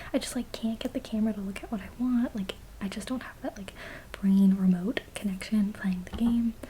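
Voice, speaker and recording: Soft-spoken whispering at a fairly quick pace, with noticeable background noise. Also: woman, big swings in loudness. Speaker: ASMR creator. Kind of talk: casual talk to camera, Q&A. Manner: soft-spoken, whispered.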